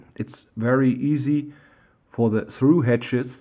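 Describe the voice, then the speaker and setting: In a German accent, a man speaks very slowly with a monotone, flat intonation. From Germany. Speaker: model railroad hobbyist. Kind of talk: tutorial. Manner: halting, many fillers.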